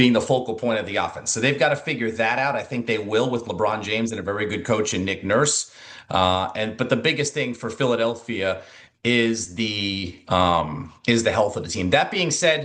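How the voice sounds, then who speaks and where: A man with a normal speaking voice talks at a moderate pace. His pitch is medium, with ordinary pitch variation. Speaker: sports radio broadcaster and studio host. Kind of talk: interview answer, sports analysis.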